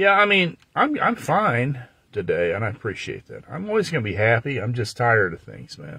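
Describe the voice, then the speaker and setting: A man's medium-pitched voice with a bright, sharp tone, vocal fry, very wide pitch swings and big swings in loudness. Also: moderate pace. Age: 60s. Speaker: livestreamer. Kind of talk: casual chat. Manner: animated.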